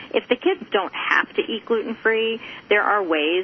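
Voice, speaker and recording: Noticeable background noise runs under a woman speaking with an American accent. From US South. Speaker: gluten-free food blogger. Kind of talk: radio interview.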